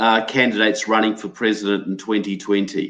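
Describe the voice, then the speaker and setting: With a New Zealand accent, a man speaks in a fairly low pitch. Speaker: political researcher and author. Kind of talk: interview.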